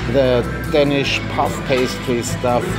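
A man talks at a very slow pace while loud music plays in the background. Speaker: travel vlogger. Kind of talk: casual vlog chat. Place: cafe. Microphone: phone near.

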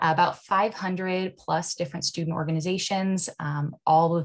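A woman with an American accent speaks in a fairly low, somewhat breathy voice against a quiet background. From Nebraska, US Midwest. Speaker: university admissions recruiter. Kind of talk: presentation. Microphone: video call.

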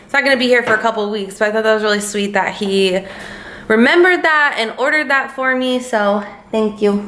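A woman speaks at a fairly quick pace in a bright, sharp tone with ordinary pitch variation, and audible room echo surrounds her. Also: fairly high pitch for a woman.

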